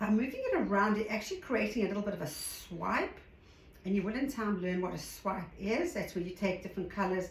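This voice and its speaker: A woman with a South African accent talks at a fairly quick pace with lively intonation, while noticeable background noise and audible room echo fill the recording. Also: medium pitch for a woman. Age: 60s. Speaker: art hobbyist tutorial creator. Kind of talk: tutorial. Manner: casual.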